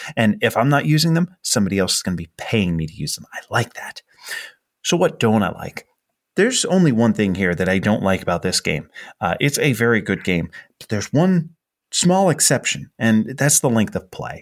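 A man talks at a moderate pace at a medium pitch. His pitch swings very widely. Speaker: podcast host. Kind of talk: casual chat.

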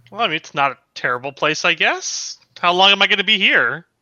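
A put-on character voice at middle pitch and a fairly quick pace. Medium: actual play. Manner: flippant, cocky.

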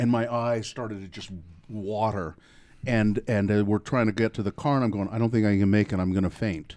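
Fairly low in pitch, a man with an unremarkable speaking voice moves along at a fairly quick pace. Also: fairly even intonation. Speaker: podcast host. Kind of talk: casual interview chat.

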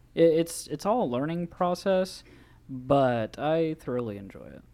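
A man with an unremarkable speaking voice talks at a fairly slow pace and fairly high pitch, with lively intonation. The recording is very clean, with a silent background. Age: 20s. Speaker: podcast guest. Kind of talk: casual chat.

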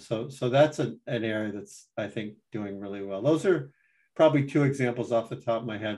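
Using an ordinary speaking voice, a man with an American accent speaks at a moderate pace and medium pitch. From Vermont, US. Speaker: professor of dermatology. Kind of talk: interview.

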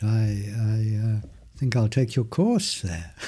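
In a very clean recording with a silent background, a man with a medium pitch speaks very slowly in a calm, gentle tone that is dark, mellow and somewhat breathy. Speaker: meditation teacher. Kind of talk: interview conversation with guided experiments.

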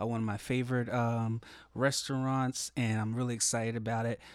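An unremarkable speaking voice belongs to this man, medium in pitch. He talks at a moderate pace on a very clean recording with a silent background. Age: 30s. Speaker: pastor. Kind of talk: casual chat.

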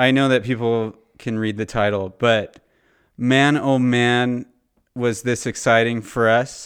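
At a fairly slow pace, a man with a Californian accent speaks in a medium pitch with monotone, flat intonation on a very clean recording with a silent background. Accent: Californian American. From Southern California. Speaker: podcast host. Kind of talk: casual chat.

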